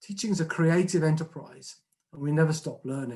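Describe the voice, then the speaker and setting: The speaker talks at a moderate pace with a southern English accent. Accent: southern English twang. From southern England. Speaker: retired head teacher and trust chief executive. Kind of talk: conference speech.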